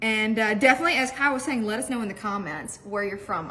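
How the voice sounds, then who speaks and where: A woman with an American accent talks at a very fast pace in an animated tone, her fairly high pitch moving with ordinary variation, over noticeable background noise and audible room echo. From Mississippi, US South. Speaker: cooking video host. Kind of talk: cooking tutorial.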